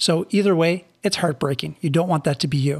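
A somewhat breathy man at a fairly quick pace, on a very clean recording with a silent background. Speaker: network marketing podcast host. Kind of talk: solo podcast monologue. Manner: animated.

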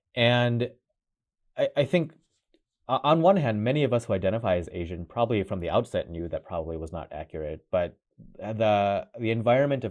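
Here is a man with a fairly low pitch and an ordinary speaking voice. He talks at a fairly quick pace with lively intonation. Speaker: cardiologist. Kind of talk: interview answers, expert explanation.

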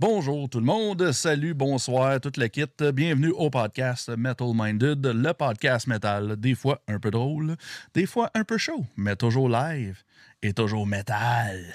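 Very slow speech with lively intonation and a Quebec accent is heard dry and close with no echo, on a very clean recording with a silent background. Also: man, medium pitch for a man. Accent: Québécois French. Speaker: podcast host. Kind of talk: casual podcast chat. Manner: animated.

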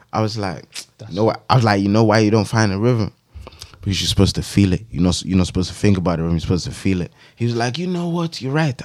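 Very fast, a man rattles along at a medium pitch with lively intonation. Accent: London. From West London, England. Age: 20s. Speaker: rapper. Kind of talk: casual chat.

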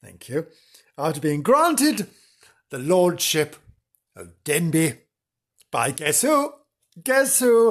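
Very slow and marked by long, frequent pauses, a man speaks at a high pitch. His voice makes very wide pitch swings. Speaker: podcast host. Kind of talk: casual chat. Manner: animated; chatty, jokey.

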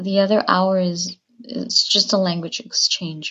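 At a very slow pace, a woman talks in a medium-pitched, somewhat breathy voice. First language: Spanish. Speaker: language learner. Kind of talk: recorded listener question.

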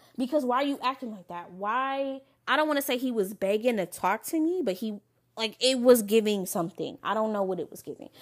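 Her tone is animated, the pitch fairly high with very wide swings. This woman talks at a fairly quick pace. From Michigan, Lansing. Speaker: podcast host. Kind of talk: casual monologue.

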